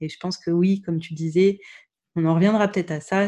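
A woman speaks with a fairly low pitch and fairly even intonation. Her tone is dark and mellow. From France, Burgundy (Dijon). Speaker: podcaster sharing her infertility journey. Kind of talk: interview. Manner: halting.

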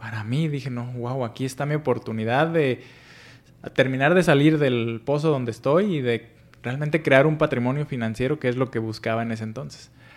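At a fairly quick pace, a man talks in an unremarkable speaking voice, his pitch medium and its variation ordinary. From Mexico, Michoacán (Paracho). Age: 40s. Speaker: financial educator and entrepreneur. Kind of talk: interview. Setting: office.

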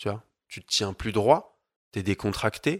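A man speaks at a moderate pace in an unremarkable speaking voice, his pitch fairly low. The recording is very clean with a silent background, and the sound is dry and close with no echo. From France, Paris. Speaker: yoga teacher. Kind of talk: casual interview.

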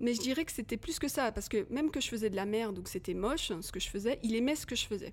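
A woman talks at a very fast pace with hardly any pauses. Her fairly high voice has lively intonation. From Paris suburbs, Hauts-de-Seine. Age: 40s. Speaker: film director. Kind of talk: casual chat.

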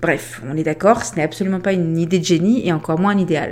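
Fairly quick in pace, a woman talks in a normal speaking voice with a fairly low pitch and ordinary pitch variation. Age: 40s. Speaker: podcast host, remote work consultant. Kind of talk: scripted monologue.

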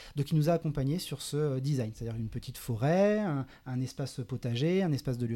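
A man's somewhat breathy voice with a dark, mellow tone, lively intonation and a fairly quick pace, on a very clean recording with a silent background. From western France, Saint-Nazaire (Loire-Atlantique). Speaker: environmental NGO project manager. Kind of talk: casual interview. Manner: hesitant, many fillers.

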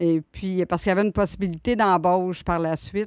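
A woman with a Quebec accent speaks at a fairly low pitch and a moderate pace, with fairly even intonation. The recording is very clean and dry, close with no echo and a silent background. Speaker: administrative assistant. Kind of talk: casual chat.

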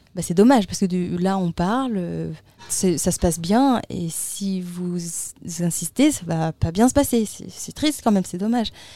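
A woman speaks at a fairly slow pace in a dark, mellow tone, her medium pitch carried by lively intonation. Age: 20s. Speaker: long-distance roller skating traveller. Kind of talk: interview. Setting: festival studio.

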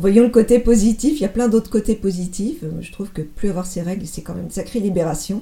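Her tone is dark and mellow, and her voice is somewhat breathy. This woman speaks at a fairly quick pace with ordinary pitch variation. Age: 50s. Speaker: former business executive, marathon runner. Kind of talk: interview testimony. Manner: halting.

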